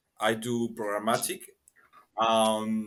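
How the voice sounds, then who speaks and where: This man has a fairly low pitch and a bright, sharp tone, speaking with a Spanish accent. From Peru. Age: 20s. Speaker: marketing professional. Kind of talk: casual chat. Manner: halting.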